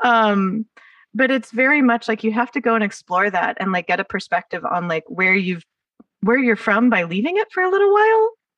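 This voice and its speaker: A woman speaks at a fairly high pitch. Her pace is fairly quick. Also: dry, close sound with no echo. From California, Los Angeles area. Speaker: podcast host. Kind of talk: casual interview chat.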